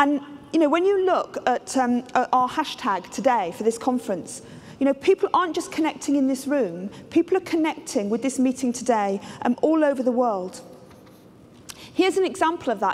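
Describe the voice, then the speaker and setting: A woman speaks at a moderate pace in a high pitch. Her voice makes very wide pitch swings. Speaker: keynote speaker. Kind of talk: lecture. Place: stage.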